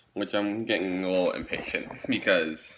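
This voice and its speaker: Light background noise sits behind a man's speech. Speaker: vlogger. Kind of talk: casual vlog chat. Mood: impatient, a bit bored. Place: home room. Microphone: phone near.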